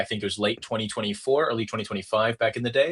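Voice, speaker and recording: This man has an American accent and a medium pitch. His tone is bright and sharp. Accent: sounds American. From Hong Kong. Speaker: crypto project growth lead. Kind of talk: podcast interview. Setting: remote call. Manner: animated.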